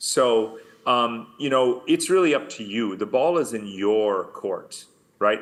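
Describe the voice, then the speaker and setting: A man with a New York accent and a medium pitch speaks at a fairly slow pace in a quiet background. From US and Germany. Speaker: author and researcher. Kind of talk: conference talk. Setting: video call. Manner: emphatic.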